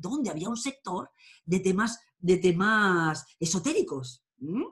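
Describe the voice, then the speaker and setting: A woman's somewhat breathy voice with lively intonation, against a quiet background. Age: 50s. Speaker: tarot and astrology teacher; tarot reader, interviewee. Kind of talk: interview. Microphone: webcam.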